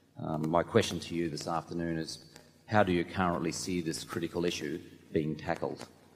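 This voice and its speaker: Fairly quick speech in an Australian accent with monotone, flat intonation. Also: man, very deep, low pitch for a man. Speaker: shareholder asking a question. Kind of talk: question from audience. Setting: audience microphone in arena.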